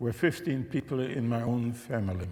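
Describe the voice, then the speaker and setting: Speaking with a German accent in a medium pitch, a man goes at a fairly slow pace with audible room echo. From Czechoslovakia (Český Těšín, Silesia). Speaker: Holocaust survivor and religion scholar. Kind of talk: testimony talk to an audience. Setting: church with live audience.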